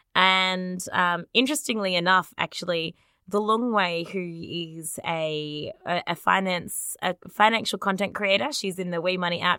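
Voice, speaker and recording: A woman's medium-pitched voice with an Australian accent and a bright, sharp tone, ordinary pitch variation at a moderate pace, with a dry, close sound and no echo on a very clean recording with a silent background. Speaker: podcast co-host. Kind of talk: casual chat.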